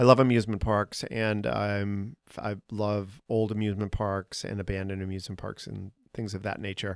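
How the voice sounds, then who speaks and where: Speaking with an American accent, a man in an unremarkable speaking voice uses a fairly low pitch, fairly even intonation and a moderate pace, his loudness swinging widely, on a very clean recording with a silent background and a dry, close sound with no echo. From Boston. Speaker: podcast host and artist. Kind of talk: casual interview.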